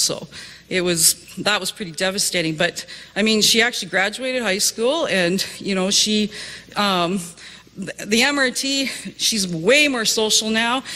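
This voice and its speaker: A woman's medium-pitched voice with a Canadian accent and lively intonation, over noticeable background noise. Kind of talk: testimony. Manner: hesitant, many fillers.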